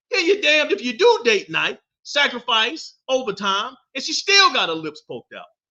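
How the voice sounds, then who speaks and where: Raised and projected, a man's extremely high voice has an animated, bright, sharp tone, very wide pitch swings, and a fairly quick pace. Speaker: podcast host. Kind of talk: casual monologue podcast. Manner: loud.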